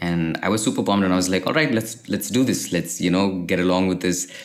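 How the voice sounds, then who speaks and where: A very deep, low male voice, its pitch varying an ordinary amount. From Kerala, India. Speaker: freelance designer and founder. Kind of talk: interview.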